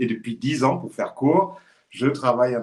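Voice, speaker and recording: The intonation is lively, at a moderate pace. It is an unremarkable speaking voice. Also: man. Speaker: e-commerce consultant. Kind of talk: live stream conversation.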